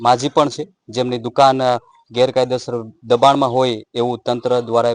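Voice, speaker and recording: Dry and close with no echo, a man's medium-pitched voice comes across monotone, with flat intonation. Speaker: local news reporter. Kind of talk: field news report and interview. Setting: outdoors on location in a village.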